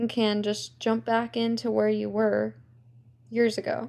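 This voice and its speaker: An unremarkable speaking voice from a woman with an American accent, fairly high in pitch. She goes at a fairly slow pace, and the recording is very clean with a silent background. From New York, then California from age seven. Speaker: podcast co-host. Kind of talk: casual chat.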